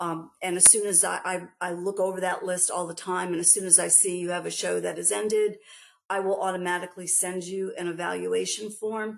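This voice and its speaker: A woman's fairly quick, flat, monotone delivery in a New York accent. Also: medium pitch for a woman. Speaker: export grant program staff presenter. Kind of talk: webinar presentation. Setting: online webinar. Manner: hesitant, many fillers.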